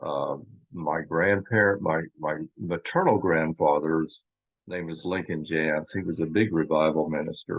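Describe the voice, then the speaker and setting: The delivery comes at a fairly slow pace with an American accent. Intonation stays fairly even. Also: man, very deep, low pitch for a man. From US Midwest, Kansas. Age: 60s. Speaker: former church member telling life story. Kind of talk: interview testimony.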